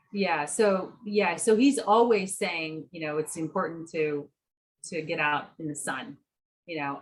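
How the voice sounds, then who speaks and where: A woman with an ordinary speaking voice, fairly low in pitch, fairly slow in pace, lively in intonation. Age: 50s. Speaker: nutritionist and endurance athlete. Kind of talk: podcast interview.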